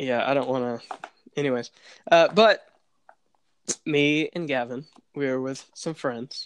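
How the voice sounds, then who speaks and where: Speaking fairly slowly with long, frequent pauses, a man uses a fairly high pitch and ordinary pitch variation. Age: young (19). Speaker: podcast host. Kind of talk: casual chat. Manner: hesitant, many fillers.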